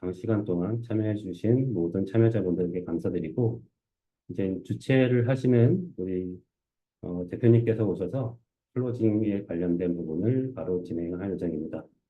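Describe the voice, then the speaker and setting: Using an ordinary speaking voice, a man at a fairly low pitch talks at a moderate pace, with ordinary pitch variation and big swings in loudness. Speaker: conference speaker, research engineer. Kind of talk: conference talk Q&A. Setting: stage with audience.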